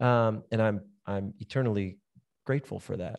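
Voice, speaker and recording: Against a quiet background, a man with a plain, everyday voice and medium pitch speaks with ordinary pitch variation in a dry, close sound with no echo. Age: 30s. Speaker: podcast host and pastor. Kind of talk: casual chat.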